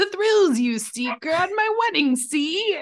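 This woman uses a put-on character voice at an extremely high pitch. She delivers it at a fairly slow pace.

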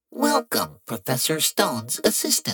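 A man speaks in a put-on character voice that sounds robotic and nasal. His pace is moderate. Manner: annoying robotic.

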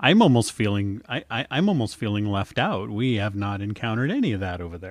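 In a plain, everyday voice, a man with an American accent talks at a fairly low pitch. His pace is fairly quick with hardly any pauses, and his pitch varies in the usual way. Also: quiet background. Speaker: podcast host. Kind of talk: casual chat, interview. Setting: remote long-distance interview.

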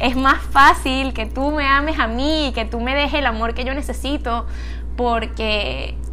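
A woman with a Venezuelan accent speaks at a very slow pace. Audible room echo and music in the background accompany her. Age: 20s. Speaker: podcaster. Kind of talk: casual monologue. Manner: halting.

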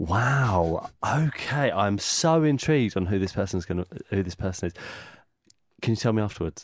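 A man with a fairly low pitch and a normal speaking voice talks at a moderate pace with lively intonation. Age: 30s. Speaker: podcast host. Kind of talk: casual interview chat; scripted intro. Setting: studio.

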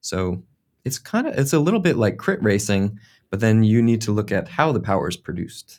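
A man with an American accent, medium pitch, lively intonation and a fairly quick pace. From United States. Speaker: sports scientist and mountain bike coach. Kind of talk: podcast interview. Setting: remote call.

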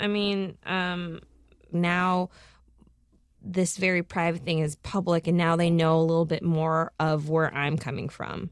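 This is an ordinary speaking voice over a quiet background. The pace is fairly slow, the intonation fairly even. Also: woman, fairly low pitch for a woman. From Minnesota, US, Lao immigrant family. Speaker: comedian, podcast host and filmmaker. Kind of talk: interview.

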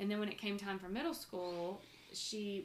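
A woman with a plain, everyday voice, fairly quick pace and fairly even intonation. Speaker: podcast host and mother. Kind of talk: casual family chat interview. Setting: shared microphones, home recording.

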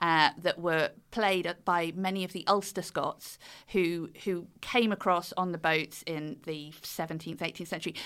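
With a British accent, a woman of fairly low pitch talks at a moderate pace in a bright, sharp tone and fairly even intonation. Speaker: author and fiddle player. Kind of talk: interview about her book.

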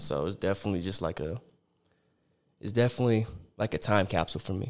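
A man with an American accent and a very deep, low pitch, vocal fry, lively intonation, a very fast pace broken by long, frequent pauses, in a very clean recording with a silent background. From Arizona (Sierra Vista). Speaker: rapper. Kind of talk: casual chat.

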